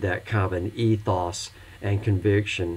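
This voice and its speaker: A somewhat breathy man's voice, very deep and low in pitch. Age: 60s. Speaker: pastor and instructor. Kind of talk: recorded lecture for online course.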